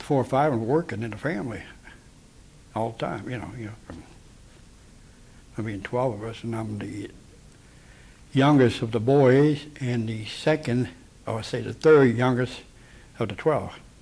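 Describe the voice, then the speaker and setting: A man with an American accent, medium in pitch and somewhat breathy, at a moderate pace with ordinary pitch variation, big swings in loudness and long, frequent pauses. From US Midwest, Cincinnati, Ohio. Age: 70s. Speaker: war veteran. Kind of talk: oral history interview.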